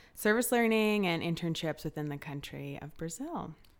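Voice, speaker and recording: A woman with a plain, everyday voice and fairly low pitch, at a moderate pace, on a very clean recording with a silent background. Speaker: intern. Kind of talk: casual chat.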